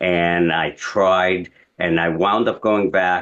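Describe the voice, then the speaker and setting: A man speaks in a very deep, low voice. He has a New York accent. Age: 50s. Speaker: interview guest, degree holder. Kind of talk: interview.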